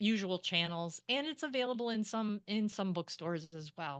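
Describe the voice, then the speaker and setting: Over a quiet background, a woman speaks at a moderate pace. The sound is dry and close, with no echo. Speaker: author and creative writing program director. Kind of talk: interview. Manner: halting.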